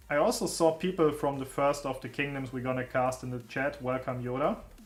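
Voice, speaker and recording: A man's voice is heard with music in the background. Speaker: gaming streamer. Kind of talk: casual live stream chat. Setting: live stream. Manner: loud.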